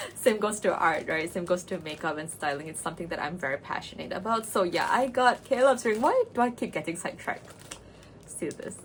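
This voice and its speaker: Amid noticeable background noise, a woman talks in a fairly high pitch with a non-native accent. Her tone is animated. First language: not English. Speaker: cosplay and makeup vlogger. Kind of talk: casual vlog chat.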